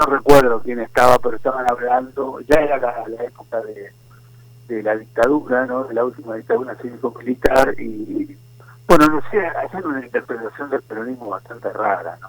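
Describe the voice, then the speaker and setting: A man with a Rioplatense accent at a moderate pace, with big swings in loudness. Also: medium pitch for a man, ordinary pitch variation. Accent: Argentine Rioplatense Spanish. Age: 70s. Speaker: historian and writer. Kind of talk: interview.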